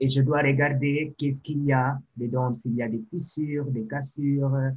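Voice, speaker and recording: Monotone and flat, a man with a non-native accent speaks at a fairly high pitch and a fairly slow pace. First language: not French (speaking French). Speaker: sanitation technologist. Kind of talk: interview.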